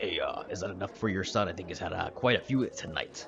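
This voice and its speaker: A man puts on a raspy character voice and rattles along at a very fast pace, with clear background noise underneath. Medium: actual play. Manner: blunt, matter-of-fact.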